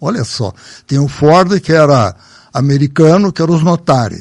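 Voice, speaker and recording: A man has an ordinary speaking voice, fairly high in pitch. He talks at a fairly slow pace with ordinary pitch variation. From Brazil, São Paulo state (Salto, raised in Sorocaba). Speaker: local elder sharing memories. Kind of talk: casual reminiscing interview.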